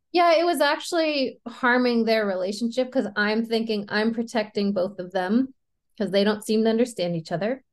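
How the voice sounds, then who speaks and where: Using a normal speaking voice, a woman talks at a moderate pace with a fairly high pitch and lively intonation. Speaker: NLP coach and podcast host. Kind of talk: casual chat.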